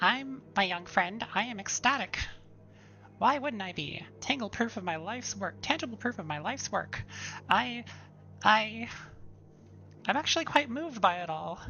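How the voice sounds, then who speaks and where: A put-on character voice, female-sounding and fairly high-pitched, raised and projected at a moderate pace, with long, frequent pauses over clear background noise. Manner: excited, moved.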